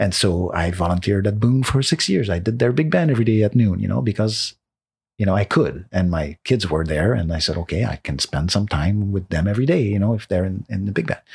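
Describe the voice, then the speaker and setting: A man with a Quebec accent, fairly low in pitch, somewhat breathy, with lively intonation and a fairly quick pace. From Quebec, Laurentians north of Montreal. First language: French. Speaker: composer. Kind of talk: casual conversation. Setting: in person at the host's home.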